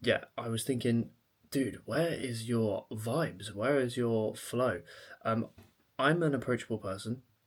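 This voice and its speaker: Quiet and fairly slow, the speech comes in an English accent with ordinary pitch variation. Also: man, medium pitch for a man. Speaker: fitness coach and vlogger. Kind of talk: vlog. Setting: at home, late evening.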